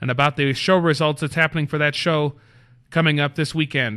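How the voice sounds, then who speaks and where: Against a quiet background, a man speaks at a fairly quick pace with a fairly high pitch and a bright, sharp tone. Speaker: wrestling manager and show host. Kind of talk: solo show monologue. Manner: fast; animated.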